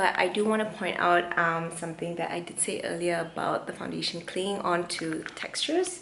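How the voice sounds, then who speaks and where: A woman speaks at a moderate pace and fairly low pitch with ordinary pitch variation. Audible room echo and noticeable background noise fill the recording. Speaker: beauty vlogger. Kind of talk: casual vlog review. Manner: chatty; speaking quietly.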